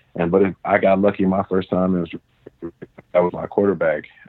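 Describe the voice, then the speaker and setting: A man with a Midwestern American accent talks in a very deep, low pitch with monotone, flat intonation. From US Midwest, Cincinnati, Ohio. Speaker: professional football player. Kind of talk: casual interview. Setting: phone call.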